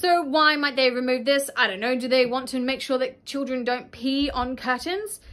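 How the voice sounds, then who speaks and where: A woman with an Australian accent talks at a moderate pace in a high pitch, with hardly any pauses. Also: ordinary pitch variation. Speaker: YouTuber reviewing a kids' cartoon. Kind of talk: casual vlog commentary. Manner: animated. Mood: puzzled, wry. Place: home room.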